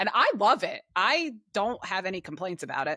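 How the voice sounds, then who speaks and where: In a New Jersey accent, a woman speaks at a moderate pace with a bright, sharp tone and a fairly low pitch. The recording is very clean, with a silent background and a dry, close sound with no echo. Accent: New Jersey accent, lighter than her sister's. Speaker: podcast co-host. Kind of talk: casual chat.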